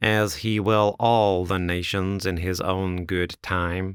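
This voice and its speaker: Put-on character voice from a man, very deep and low, nasal and monotone, at a fairly slow pace, on a very clean recording with a silent background. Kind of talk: solemn, biblical.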